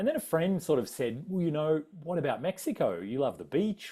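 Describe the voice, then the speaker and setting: In a very clean recording with a silent background, a man with an Australian accent talks at a fairly quick pace with very wide pitch swings. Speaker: adventurer and travel speaker. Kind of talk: public talk with slides. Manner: casual, many fillers.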